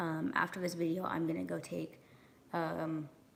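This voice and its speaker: Speaking at a moderate pace, a woman has a fairly low pitch and vocal fry. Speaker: vlogger. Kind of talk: casual vlog monologue. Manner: casual, many filler ums.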